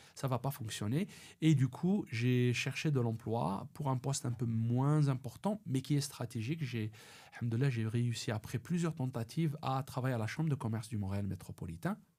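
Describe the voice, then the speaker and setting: The voice is somewhat breathy, with a dark, mellow tone. It carries an Algerian accent and lively intonation. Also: man, medium pitch for a man, moderate pace. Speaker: personal branding consultant. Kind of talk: podcast interview. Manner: halting, many repetitions.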